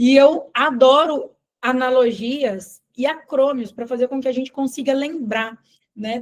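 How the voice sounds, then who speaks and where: A woman with a Minas Gerais accent speaks at a high pitch. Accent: Minas Gerais (mineiro). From Brazil, Minas Gerais family (born elsewhere). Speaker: nutritionist and business mentor. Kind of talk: live sales webinar.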